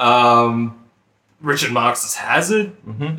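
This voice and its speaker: A man with an Australian accent talks fairly slowly in a bright, sharp tone. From Australia, country town. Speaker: podcast co-host. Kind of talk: casual chat.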